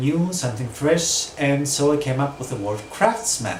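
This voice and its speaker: A man talks at a moderate pace with ordinary pitch variation. Noticeable background noise and audible room echo accompany him. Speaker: spiritual small business owner. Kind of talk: casual vlog monologue. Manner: hesitant, many fillers.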